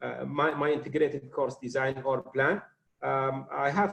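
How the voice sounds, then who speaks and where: Fairly high-pitched, somewhat breathy voice of a man. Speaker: university professor, workshop presenter. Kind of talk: lecture. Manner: halting, many fillers.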